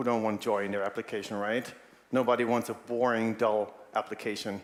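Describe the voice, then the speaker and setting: A man's voice at medium pitch. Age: 40s. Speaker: animator and UX designer. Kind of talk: conference talk. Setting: stage with audience.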